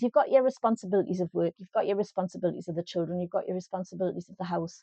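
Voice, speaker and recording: A woman with a Geordie accent and a dark, mellow tone, her pitch varying in an ordinary way, over a quiet background. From North East England. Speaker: life coach. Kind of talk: casual talk to camera. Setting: home, small microphone.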